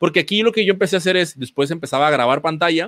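The delivery is very fast, bright and sharp in tone, with lively intonation and a dry, close sound with no echo. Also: man. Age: 30s. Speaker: physical education teacher. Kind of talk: online presentation. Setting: online event with screen sharing. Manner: halting, many repetitions and fillers.

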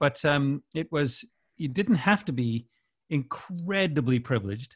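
A man with a Canadian accent speaks at a fairly slow pace and fairly high pitch. His voice is somewhat breathy, with lively intonation. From Winnipeg, Canada. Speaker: radio station CEO and broadcaster. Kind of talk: casual interview chat.

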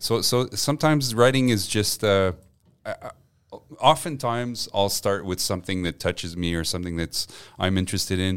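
Speaking with a Quebec accent, a man talks at a fairly quick pace with a fairly low pitch and lively intonation. The recording is very clean with a silent background. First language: French. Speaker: newspaper journalist and columnist. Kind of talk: casual chat. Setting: studio. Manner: halting.

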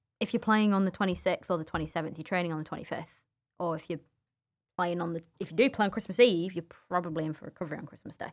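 A woman talks very fast in a fairly low voice, her loudness swinging widely while her pitch varies in an ordinary way. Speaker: former footballer. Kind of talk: casual chat. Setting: studio. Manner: animated.

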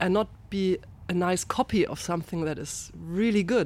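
At a moderate pace, a woman speaks in a German accent with ordinary pitch variation. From Germany, Rheinhessen (Ingelheim). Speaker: winemaker. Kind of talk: interview.

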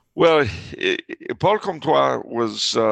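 A man speaks against a quiet background. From Los Angeles, US. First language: French. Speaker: author and historian. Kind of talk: casual interview conversation. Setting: remote call. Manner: chatty, humorous.

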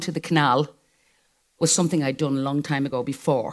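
In an Irish accent, a woman with a very deep, low pitch talks at a very fast pace. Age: 60s. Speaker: live show guest. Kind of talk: live stage interview.

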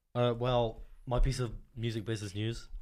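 A man at medium pitch and moderate pace on a very clean recording with a silent background. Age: young. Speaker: podcast producer and bassist. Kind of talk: casual chat.

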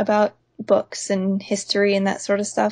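This woman speaks with a medium pitch and a somewhat breathy quality. Her pace is moderate. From US South, Pensacola, Florida. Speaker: author. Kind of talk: casual chat.

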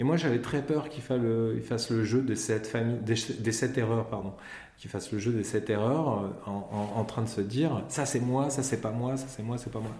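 With audible room echo, a man speaks at a medium pitch and fairly even intonation. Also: moderate pace. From Paris region, France. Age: 40s. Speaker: comic book author. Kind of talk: interview. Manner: halting, repeats words.

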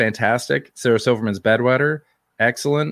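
A man with a Canadian accent talks at a moderate pace with ordinary pitch variation, in a dry, close sound with no echo and a very clean, silent background. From Canada. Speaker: comedian and podcast host. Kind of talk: casual chat. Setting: live stream.

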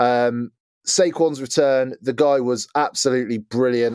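Recorded very cleanly against a silent background, a man's voice sounds dry and close with no echo, with medium pitch and fairly even intonation. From England. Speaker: NFL podcast host. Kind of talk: casual chat.

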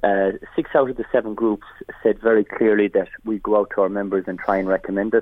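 The speaker has a rural Irish accent. The pace is fairly quick. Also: man. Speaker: farmers' association leader. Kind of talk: radio interview.

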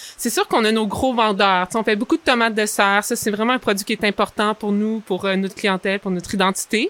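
With a Quebec accent, a woman speaks at a fairly quick pace in a fairly high pitch with a bright, sharp tone, the sound dry and close with no echo. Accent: Québécois French. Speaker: vegetable farmer. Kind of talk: interview.

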